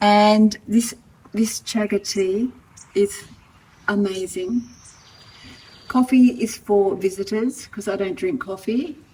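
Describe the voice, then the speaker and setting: Speaking at a very slow pace with long, frequent pauses, a woman uses a fairly high pitch and ordinary pitch variation. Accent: Australian. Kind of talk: casual talk to camera.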